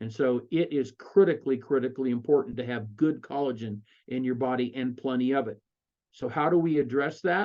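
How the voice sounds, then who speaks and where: With an American accent, a man talks at a fairly quick pace and medium pitch with ordinary pitch variation. His is an unremarkable speaking voice. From Colorado. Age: 60s. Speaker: network marketing presenter. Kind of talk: sales pitch. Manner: conversational with fillers.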